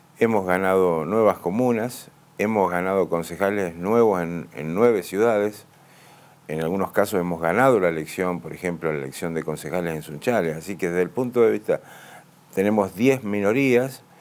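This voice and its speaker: This man speaks with an Argentine accent. His voice is very deep and low, with ordinary pitch variation. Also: moderate pace. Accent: Argentine Spanish (Rioplatense). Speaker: provincial legislator. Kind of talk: radio interview. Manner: hesitant, many fillers.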